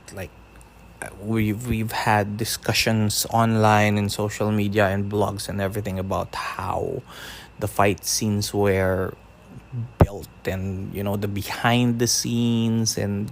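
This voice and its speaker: A man's fairly low voice in a Filipino accent, monotone and flat, at a very slow pace. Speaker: podcaster. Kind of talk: casual podcast talk.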